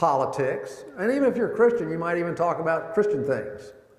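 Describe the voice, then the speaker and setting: A man's high voice moves at a fairly quick pace with very wide pitch swings. Noticeable background noise is present. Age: 60s. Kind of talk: talk to a men's group. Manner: conversational.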